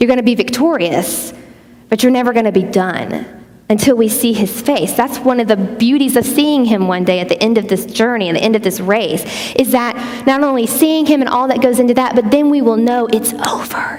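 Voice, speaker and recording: Over noticeable background noise and audible room echo, a woman with a Southern US accent speaks at a moderate pace in a high pitch with ordinary pitch variation. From US Gulf Coast (Pensacola, Louisiana, Mississippi). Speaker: conference speaker. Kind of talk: sermon.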